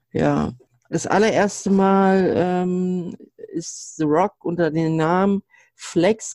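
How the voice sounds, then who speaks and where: Very slow and fairly even in intonation, a man speaks at a high pitch for a man, with a dry, close sound and no echo. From northeastern Germany. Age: 30s. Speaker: podcast guest, wrestling fan. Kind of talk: casual chat.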